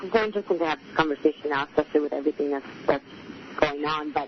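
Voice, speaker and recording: A woman talks very fast while noticeable noise sounds behind her. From Mexico. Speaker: author and activist. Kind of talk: interview.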